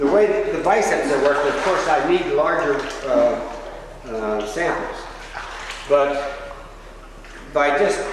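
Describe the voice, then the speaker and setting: A man at a very slow pace, with long, frequent pauses, strong room echo and noticeable background noise. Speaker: exerciser demonstrating a workout. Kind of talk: tutorial. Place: waterside.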